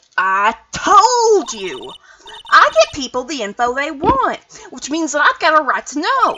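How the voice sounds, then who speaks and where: Putting on a character voice, a woman speaks high and fairly slowly, with very wide pitch swings. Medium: game stream. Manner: brash, loud.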